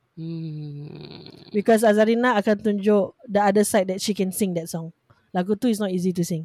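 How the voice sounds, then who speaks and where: An unremarkable speaking voice, a woman's at medium pitch, moves at a moderate pace with ordinary pitch variation in a dry, close sound with no echo. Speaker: podcast co-host. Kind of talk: casual chat.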